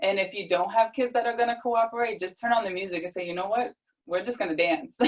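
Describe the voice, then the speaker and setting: Talking at a very fast pace, a woman uses a fairly high pitch with ordinary variation. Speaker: nurse and life coach presenter. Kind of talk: webinar Q&A answer. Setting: video call webinar. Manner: animated.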